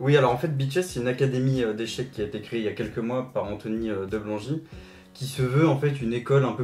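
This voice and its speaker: A somewhat breathy man talks at a fairly quick pace with ordinary pitch variation. Audible room echo is present. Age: 20s. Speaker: chess grandmaster. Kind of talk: casual interview. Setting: at host's home. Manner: hesitant with many fillers.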